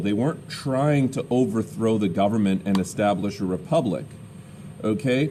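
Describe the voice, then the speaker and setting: A loud man with a dark, mellow tone speaks at a moderate pace, his pitch swinging very widely. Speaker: teacher. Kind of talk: lecture.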